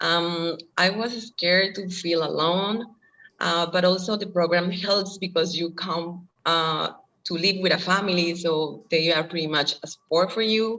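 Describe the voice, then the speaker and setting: The speaker has a Colombian accent. The intonation is fairly even. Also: woman, fairly low pitch for a woman. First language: Spanish. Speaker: former language student and au pair. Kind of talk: interview. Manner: halting, with fillers.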